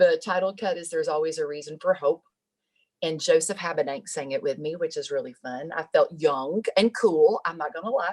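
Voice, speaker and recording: A woman in a Southern US accent, at a fairly quick pace with big swings in loudness. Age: 50s. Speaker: singer-songwriter. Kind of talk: interview.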